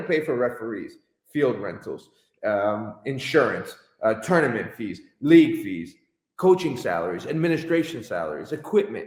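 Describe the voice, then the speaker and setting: At a moderate pace, a man with a fairly high pitch and vocal fry talks in an animated tone with very wide pitch swings. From Connecticut, US. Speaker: soccer club owner and coach. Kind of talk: interview. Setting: live stream. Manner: loud.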